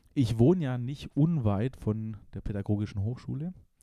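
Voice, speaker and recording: The recording is very clean, with a silent background. A man in a normal speaking voice talks at a moderate pace and medium pitch, with ordinary pitch variation. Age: 30s. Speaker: podcast co-host, university student. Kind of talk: casual chat.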